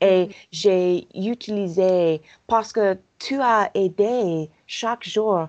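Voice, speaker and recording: At a very slow pace, a woman speaks at a medium pitch with ordinary pitch variation against a quiet background. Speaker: language coach and acupuncturist. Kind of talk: casual interview. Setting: in a car. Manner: halting; bubbly.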